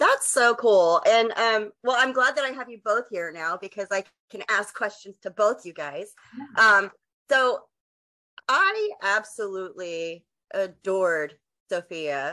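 With a Texan accent, a woman talks at a fairly slow pace and medium pitch. Her tone is bright and sharp, her intonation lively. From West Texas. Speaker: podcast host. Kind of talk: casual interview.

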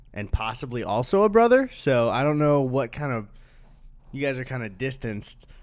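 At a moderate pace, a normal speaking voice comes through on a very clean recording with a silent background. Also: man. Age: 20s. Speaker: YouTuber and podcast co-host. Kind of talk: casual chat. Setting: studio with microphones and headphones.

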